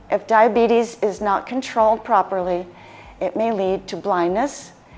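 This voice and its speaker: A woman with an American accent talks at a moderate pace and medium pitch, with ordinary pitch variation. She has an unremarkable speaking voice. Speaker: lifestyle medicine practitioner. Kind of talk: health education presentation.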